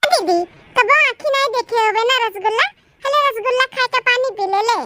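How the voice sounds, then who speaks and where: In a cartoonish character voice, a woman sounds squeaky at an extremely high pitch, talking at a fairly quick pace with a dry, close sound and no echo. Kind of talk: comic village cartoon acting. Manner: sneering, boastful.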